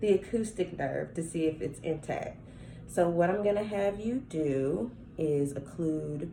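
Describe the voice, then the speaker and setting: Lively intonation from a woman with a dark, mellow tone and fairly low pitch, plus audible room echo. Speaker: nursing student performing a health assessment. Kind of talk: simulated clinical assessment talk. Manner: halting.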